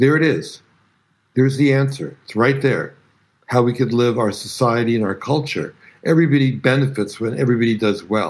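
With an American accent, a man speaks fairly quickly at a medium pitch. His pitch variation is ordinary, and the recording is very clean, with a silent background. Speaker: filmmaker. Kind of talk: interview. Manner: passionate.

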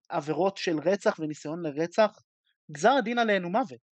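His pitch varies in an ordinary way. The man keeps to a moderate pace. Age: 20s. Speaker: law student. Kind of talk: audience question. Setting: video call.

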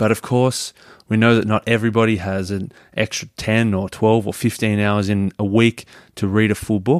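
A man's fairly low voice in an Australian accent, fairly even in intonation at a moderate pace, dry and close with no echo, on a very clean recording with a silent background. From Melbourne, Australia. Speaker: podcaster. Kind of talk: scripted podcast promo.

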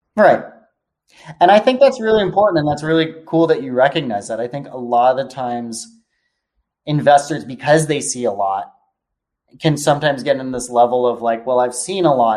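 A normal speaking voice from a man with an American accent, lively intonation, big swings in loudness and a fairly quick pace. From US West Coast, California. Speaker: venture capital investor. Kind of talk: casual interview chat. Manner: casual, filler-heavy.

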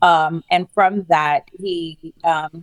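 The sound is dry and close, with no echo. A woman's fairly low pitch carries the speech. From St. Lucia. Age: 40s. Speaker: author and police-violence victims advocate. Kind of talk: interview.

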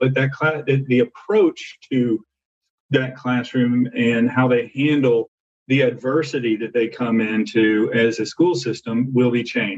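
A man with an American accent speaks in a normal speaking voice at medium pitch. His pace is fairly slow and his intonation fairly even. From US South, Arkansas. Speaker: corporate development professional. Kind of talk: panel discussion. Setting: phone or video call.

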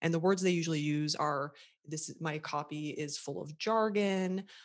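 Someone with an American accent speaks at a moderate pace in a plain, everyday voice with lively intonation, in a very clean recording over a silent background. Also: woman. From USA. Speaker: website copywriter and coach for therapists. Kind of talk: interview, conversational.

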